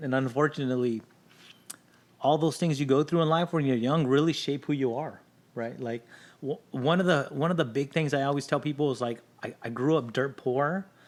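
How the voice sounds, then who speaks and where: With a Spanish accent, a man speaks at a fairly quick pace with ordinary pitch variation. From Los Angeles area, California. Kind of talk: podcast interview.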